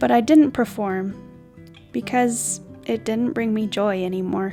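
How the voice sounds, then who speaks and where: A woman's calm tone over music in the background. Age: 20s. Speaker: vlogger and voice teacher. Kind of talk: reflective voiceover. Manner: calm, slow.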